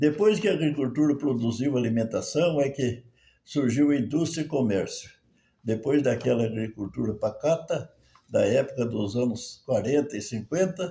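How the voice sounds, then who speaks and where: Somewhat breathy, a man with a fairly high pitch speaks at a moderate pace with lively intonation. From Brazil. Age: 80s+. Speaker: retired farmer and merchant. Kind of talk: spoken commentary monologue. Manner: halting.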